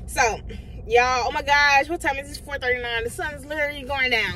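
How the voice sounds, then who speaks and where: Against noticeable background noise, a woman projects a raised voice at a high pitch and a fairly quick pace. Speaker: book vlogger. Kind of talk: casual chat.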